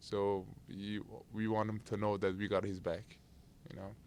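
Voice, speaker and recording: A man's fairly low voice with a non-native accent and monotone, flat intonation. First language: not English. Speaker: basketball player. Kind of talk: press interview.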